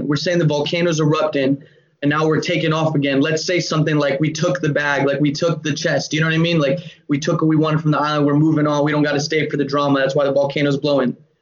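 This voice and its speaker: Over noticeable background noise, a man with an American accent talks very fast in a fairly high, monotone voice with flat intonation. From Georgia, US (Atlanta area). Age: 20s. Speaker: rapper. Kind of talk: casual chat.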